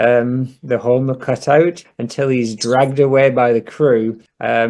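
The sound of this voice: Here is an unforced reading voice with fairly even intonation. The background is quiet.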